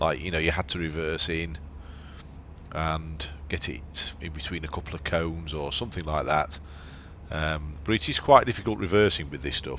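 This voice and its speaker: A man's very deep, low voice in an English accent, with vocal fry, fairly even intonation and a moderate pace. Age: 60s. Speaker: gaming YouTuber. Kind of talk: let's play gameplay commentary. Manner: casual, halting with repetitions.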